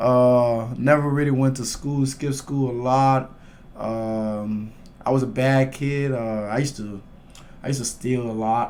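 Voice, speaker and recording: A man with a Liberian accent speaks at a fairly slow pace in a medium pitch, his intonation monotone and flat. Audible room echo surrounds his voice. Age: 20s. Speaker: MMA fighter. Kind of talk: casual interview chat.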